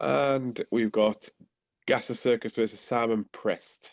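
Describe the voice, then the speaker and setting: A man's medium-pitched voice with a Teesside accent, very slow pace and fairly even intonation. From northern England, Teesside. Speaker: podcast co-host. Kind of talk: casual chat.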